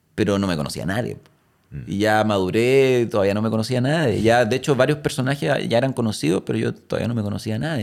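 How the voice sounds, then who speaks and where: Talking at a fairly quick pace, a man with a Chilean accent has a fairly low pitch and ordinary pitch variation. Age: 40s. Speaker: actor. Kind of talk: casual chat.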